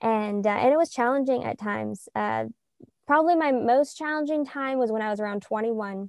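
Her voice is a plain, everyday voice with an American accent. The woman's pitch is fairly high, with ordinary variation, at a moderate pace. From US South, Middle Tennessee. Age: 20s. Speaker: Messianic believer, betrothed woman. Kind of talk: testimony.

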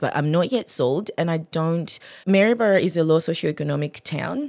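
A woman with a very deep, low pitch and lively intonation speaks at a moderate pace on a very clean recording with a silent background. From Zimbabwe. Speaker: registered nurse and aesthetics trainer. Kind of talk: casual interview.

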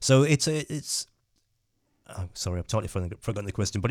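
A man speaks with a West Midlands accent in a fairly low pitch. The recording is very clean, with a silent background. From England, West Midlands (Dudley). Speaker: photographer and educator. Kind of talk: interview. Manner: halting.

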